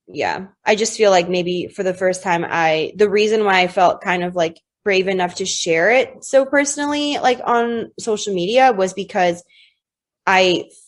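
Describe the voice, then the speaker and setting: This is a normal speaking voice with an American accent. The pace is fairly slow, and the pitch varies in an ordinary way. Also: woman. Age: 20s. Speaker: podcast guest. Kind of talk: casual chat.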